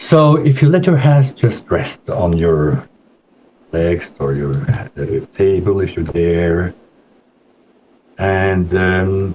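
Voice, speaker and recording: This man's voice is very deep and low, with very wide pitch swings. He talks at a very slow pace, leaving long, frequent pauses. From Spain and Norway. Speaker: psychodrama therapist. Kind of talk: presentation; guided meditation.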